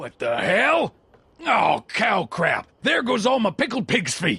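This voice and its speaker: A raspy, put-on character voice moves through very wide pitch swings at a fairly slow pace. The sound is dry and close, with no echo. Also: man, high pitch for a man. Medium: video game. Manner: gruff, crude.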